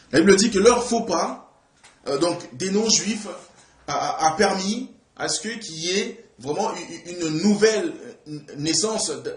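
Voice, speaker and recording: Very slow speech with lively intonation and audible room echo. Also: man. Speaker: preacher. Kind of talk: sermon. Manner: halting.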